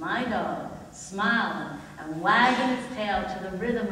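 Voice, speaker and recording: A woman speaks at a very slow pace. Room echo is audible, along with light background noise. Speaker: spoken word poet and one-woman-show performer. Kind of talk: spoken word poetry performance. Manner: emphatic, defiant, rhythmic. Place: stage. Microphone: camera far.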